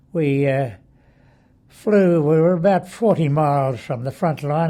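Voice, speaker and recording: Speaking at a fairly slow pace, a man with a fairly high pitch has a dark, mellow tone and ordinary pitch variation. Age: 80s+. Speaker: war veteran. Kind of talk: interview answer. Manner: hesitant, reminiscing.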